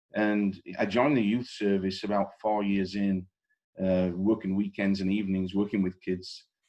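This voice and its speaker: Against a quiet background, a man speaks at a fairly low pitch with a dark, mellow tone, very even loudness and monotone, flat intonation. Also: moderate pace. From northern England (Settle, Yorkshire Dales). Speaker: company CEO. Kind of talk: podcast interview. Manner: conversational, with frequent repetitions.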